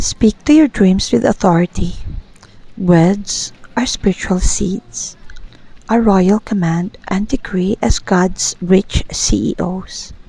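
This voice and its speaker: A woman speaks very slowly with ordinary pitch variation. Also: medium pitch for a woman. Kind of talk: devotional declaration and prayer. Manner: whispered, soft-spoken.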